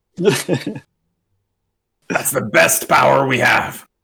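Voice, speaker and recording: A raspy, medium-pitched put-on character voice from a man. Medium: actual play. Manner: calm, decisive, leading the plan.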